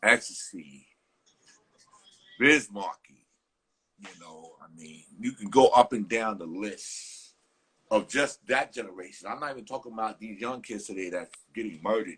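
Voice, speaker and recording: A man with a New York accent and a bright, sharp tone, medium in pitch with ordinary variation, at a moderate pace broken by long, frequent pauses, his loudness swinging widely. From New York, the Bronx. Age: 60s. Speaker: hip hop interview host. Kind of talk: casual interview.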